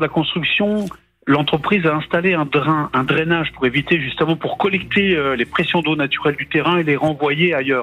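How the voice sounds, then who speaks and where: Fairly quick male speech, fairly high in pitch, its pitch varying in an ordinary way. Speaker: journalist. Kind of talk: storytelling. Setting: phone call. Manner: halting.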